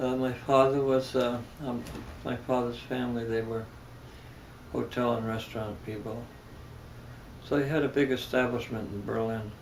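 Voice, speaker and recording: A man's medium-pitched, monotone, flat voice at a moderate pace, broken by long, frequent pauses, with audible room echo. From Germany, then New York City. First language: German. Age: 70s. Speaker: religious leader. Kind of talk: interview. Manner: halting.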